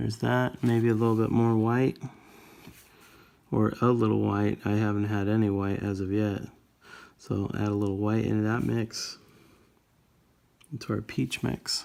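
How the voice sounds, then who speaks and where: Pitched fairly low, a man speaks at a moderate pace with a dark, mellow tone. His intonation stays fairly even, broken by long, frequent pauses. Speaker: miniature painting tutor. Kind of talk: tutorial. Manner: casual, halting.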